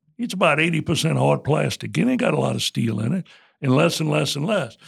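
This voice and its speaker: A man speaks in a south Louisiana accent. His tone is animated and his pace moderate. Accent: south Louisiana Southern US. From south Louisiana (Morgan City). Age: 70s. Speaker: retired bank CEO and author. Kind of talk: interview conversation. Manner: animated, folksy storyteller.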